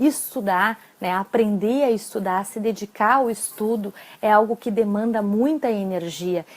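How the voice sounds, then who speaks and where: An unremarkable speaking voice belongs to this woman, pitched fairly high. She moves at a moderate pace with ordinary pitch variation. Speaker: psychologist and exam-prep coach. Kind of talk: live-stream talk with tips. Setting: live stream.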